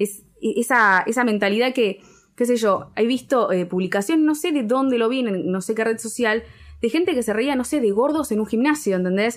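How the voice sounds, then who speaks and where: On a very clean recording with a silent background, a woman with a Rioplatense accent and a fairly high voice speaks at a moderate pace with lively intonation and very even loudness. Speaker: podcast co-host. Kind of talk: casual chat.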